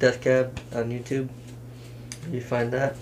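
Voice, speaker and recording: An American accent marks this man's fairly slow speech. Light background noise sits behind him. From Washington state, US (Kitsap area); Washington. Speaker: rapper; podcast guest. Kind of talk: casual chat. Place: home room. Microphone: camera far.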